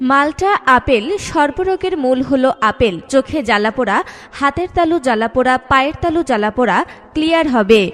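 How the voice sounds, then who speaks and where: A woman's high-pitched voice with lively intonation, set against noticeable background noise. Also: very even loudness. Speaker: voice-over artist. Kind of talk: street promotion advertisement read.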